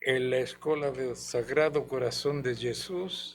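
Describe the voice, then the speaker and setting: Very slow speech from a man at medium pitch. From Chile, Santiago. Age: 80s+. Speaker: guest witness of dictatorship. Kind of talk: interview testimony.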